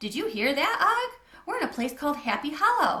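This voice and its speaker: In a put-on character voice, a woman squeaks at a high pitch and a fairly quick pace, her pitch swinging very widely. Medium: read story. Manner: eager, fretful.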